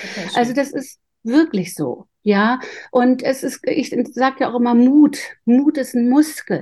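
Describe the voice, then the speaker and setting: A woman's high voice with a dark, mellow tone, ordinary pitch variation and a fairly slow pace. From northern Germany. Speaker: intuition coach. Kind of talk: interview.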